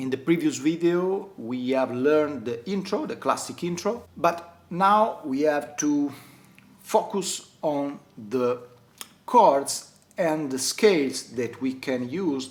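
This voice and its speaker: With an Italian accent, a man speaks at a very slow pace, his fairly high pitch making very wide swings. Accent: non-native English, Italian. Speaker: guitar teacher. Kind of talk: tutorial. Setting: at home.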